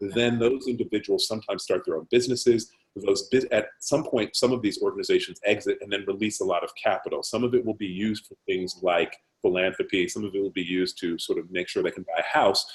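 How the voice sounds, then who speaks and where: A man with an American accent at a very fast pace, with hardly any pauses. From United States. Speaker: investment firm CEO. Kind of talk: webinar Q&A discussion.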